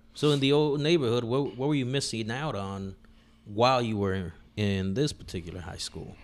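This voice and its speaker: A man with a plain, everyday voice, medium in pitch, at a moderate pace with lively intonation. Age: 40s. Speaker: podcast host. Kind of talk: casual chat.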